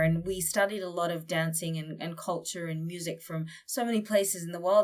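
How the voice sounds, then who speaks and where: A woman speaks in an Australian accent at a fairly low pitch. Her pace is moderate and her intonation fairly even. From Australia, northern Queensland. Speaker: war journalist. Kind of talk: interview conversation.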